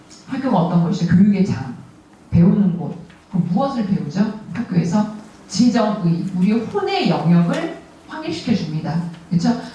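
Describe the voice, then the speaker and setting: Speaking at a moderate pace, a woman uses a medium pitch and lively intonation. The room echo is audible and background noise is noticeable. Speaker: prayer meeting leader. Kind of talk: sermon. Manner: speeds up when short on time.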